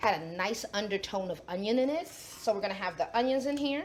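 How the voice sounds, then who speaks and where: Animated in tone, a woman with a New York accent and a fairly high pitch talks with lively intonation. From New York City (the Bronx). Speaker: chef and cooking show host. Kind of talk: cooking demonstration.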